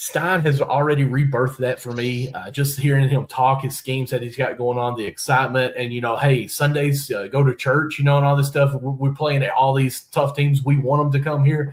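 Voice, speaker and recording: In a Kentucky accent, a man talks at a fairly quick pace with hardly any pauses, his somewhat breathy voice monotone and flat. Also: fairly high pitch for a man. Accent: Kentucky hillbilly. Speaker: sports podcast host. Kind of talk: podcast interview.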